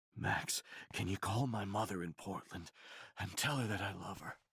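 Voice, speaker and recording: The speaker performs a put-on character voice. The pace is moderate. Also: man, fairly low pitch for a man. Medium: video game.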